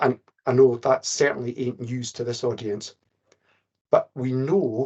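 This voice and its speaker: A man's somewhat breathy, medium-pitched voice moves at a moderate pace. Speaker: care inspector presenting briefing. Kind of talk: webinar presentation.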